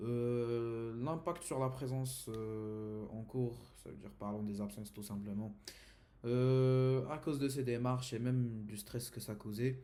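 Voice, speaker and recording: With an Arabic accent, a man speaks fairly slowly at a medium pitch in a dark, mellow tone, his intonation fairly even and room echo audible. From Saudi Arabia. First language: Arabic (speaking French). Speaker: university student. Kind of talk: class presentation. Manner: halting, many hesitations.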